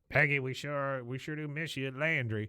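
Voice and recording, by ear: A man's gruff, put-on character voice at medium pitch and a moderate pace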